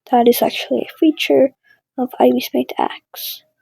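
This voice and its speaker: The speaker talks at a very slow pace in a non-native accent. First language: not English. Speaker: digital artist, content creator. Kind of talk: drawing commentary. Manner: casual, hesitant with fillers.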